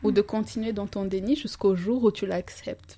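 A woman's medium-pitched, somewhat breathy voice with a dark, mellow tone and fairly even intonation, in a very clean recording with a silent background. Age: 30s. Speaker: life coach. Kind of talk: casual interview.

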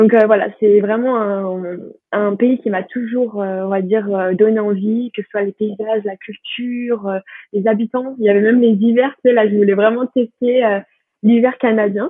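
Speaking fairly slowly, a woman delivers her lines in a fairly high, monotone voice with flat intonation. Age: 20s. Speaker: student. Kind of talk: casual chat. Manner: halting. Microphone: poor sound quality.

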